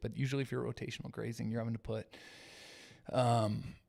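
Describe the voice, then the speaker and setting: Soft-spoken male voice with a dark, mellow tone. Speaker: ranch owner and news commentary host. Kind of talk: live stream chat reading viewer comments. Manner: halting.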